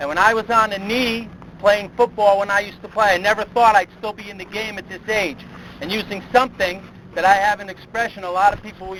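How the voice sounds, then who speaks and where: This man talks in a raised, projected voice with an American accent, pitched high and moving at a fairly quick pace. His loudness swings widely while his intonation stays fairly even, with noticeable background noise behind him. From upstate New York (East Greenbush). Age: 50s. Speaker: motivational speaker, sports consultant. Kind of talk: motivational speech.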